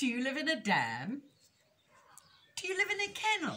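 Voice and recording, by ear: At a moderate pace, a put-on character voice with a bright, sharp tone leaps through very wide pitch swings. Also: woman, high pitch for a woman.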